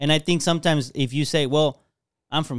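The speaker has a normal speaking voice with an American accent at a moderate pace. The sound is dry and close with no echo, on a very clean recording with a silent background. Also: man. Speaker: podcast co-host. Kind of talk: casual chat.

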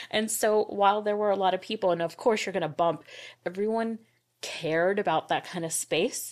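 A woman with a normal speaking voice talks at a fairly quick pace and medium pitch. Her pitch variation is ordinary, on a very clean recording with a silent background. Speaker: graphics designer. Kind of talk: casual interview chat.

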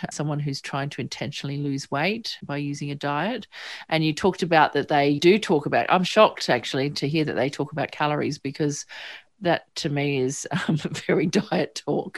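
Speaking with an Australian accent, a woman has a very deep, low pitch and ordinary pitch variation at a moderate pace. The recording is very clean, with a silent background. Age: 50s. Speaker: psychotherapist and podcast host. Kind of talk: interview.

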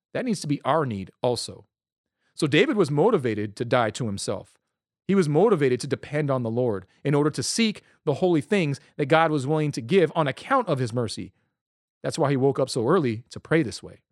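A man with an ordinary speaking voice talks at a fairly quick pace, fairly high in pitch and with lively intonation. The recording is very clean, with a silent background. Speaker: Bible teacher. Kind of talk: Bible study. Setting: podcast. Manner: casual.

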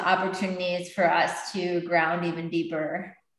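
Audible room echo surrounds a woman's voice. She has a fairly low pitch and a fairly slow pace. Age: 30s. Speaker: meditation teacher and author. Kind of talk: casual chat.

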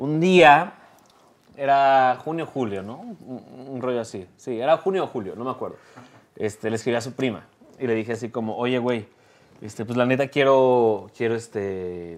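A normal speaking voice from a man, pitched in the medium range, with ordinary pitch variation. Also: moderate pace. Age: 20s. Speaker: bassist and content creator. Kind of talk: casual chat.

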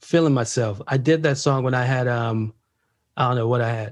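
Speaking at a moderate pace, a man sounds animated and somewhat breathy. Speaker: podcast host. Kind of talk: casual interview chat.

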